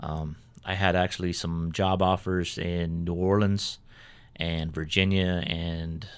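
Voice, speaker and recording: A man with an American accent speaks at a very deep, low pitch. His pace is very slow and his intonation monotone and flat. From California. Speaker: retired military investigator. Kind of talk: casual interview chat.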